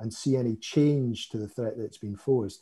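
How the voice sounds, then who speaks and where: A man with a Scottish accent, somewhat breathy, dark and mellow in tone, with ordinary pitch variation. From Scotland. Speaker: cybersecurity vendor expert. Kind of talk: panel discussion.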